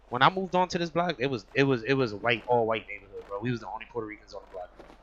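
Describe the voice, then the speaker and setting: Over noticeable background noise, a man of medium pitch talks at a very fast pace with lively intonation and big swings in loudness. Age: 30s. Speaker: podcast host. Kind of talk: casual chat.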